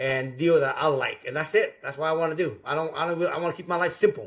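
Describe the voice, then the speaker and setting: The tone is animated, with ordinary pitch variation. The recording is very clean, with a silent background. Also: man. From Vietnam, raised in US. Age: 50s. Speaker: real estate investor. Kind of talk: podcast interview.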